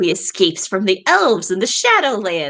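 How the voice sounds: Using a put-on character voice, a woman talks at a moderate pace with a raspy, medium-pitched sound.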